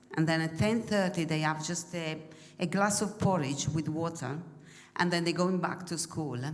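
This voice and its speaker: A woman speaks at a moderate pace with an Italian accent and ordinary pitch variation. The room echo is audible, and there is noticeable background noise. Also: fairly low pitch for a woman. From Italy. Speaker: mission trip member. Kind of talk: church presentation. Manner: halting.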